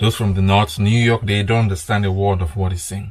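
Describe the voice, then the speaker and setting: The man's pitch is fairly low, with ordinary variation. His voice is somewhat breathy. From Nigeria. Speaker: boxing commentator. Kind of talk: reaction commentary.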